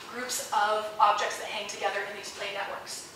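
Over light background noise and audible room echo, a woman speaks at a fairly quick pace. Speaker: junior professor presenting research. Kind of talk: lecture. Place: hall.

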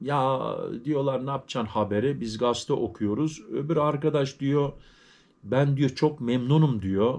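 A man at a fairly slow pace with ordinary pitch variation. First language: German stronger than Turkish (speaking Turkish). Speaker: YouTuber, vlogger. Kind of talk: casual vlog talk to viewers. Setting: at home. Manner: halting, with many fillers. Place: home room. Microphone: phone near.

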